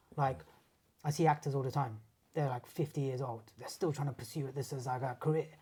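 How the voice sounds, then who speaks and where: The voice has a dark, mellow tone and sounds somewhat breathy. It moves at a very fast pace. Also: man, fairly high pitch for a man. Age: 30s. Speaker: martial artist and sports massage therapist. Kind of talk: casual chat. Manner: animated.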